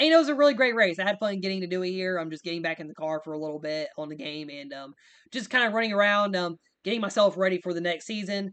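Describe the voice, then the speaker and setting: Very fast and lively in intonation, the voice has a bright, sharp tone against a quiet background. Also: man, high pitch for a man, big swings in loudness. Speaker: sim racing league host and commentator. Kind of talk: video game race recap commentary. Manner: casual, filler-heavy.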